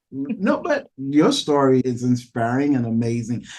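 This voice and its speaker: This man has a Haitian accent and a fairly high pitch. His pitch varies an ordinary amount. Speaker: podcast host, real estate agent. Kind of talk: interview podcast.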